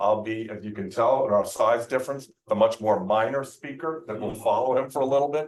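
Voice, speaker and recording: This is a plain, everyday voice. A man talks at a moderate pace and a medium pitch. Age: 60s. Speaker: event host. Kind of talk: speaker introduction.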